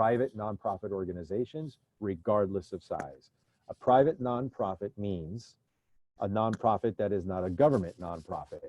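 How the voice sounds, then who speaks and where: The man's voice sits fairly low, with a dark, mellow tone, ordinary pitch variation, and a dry, close sound with no echo. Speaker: loan presenter at business webinar. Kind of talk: webinar presentation. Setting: online webinar. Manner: fast.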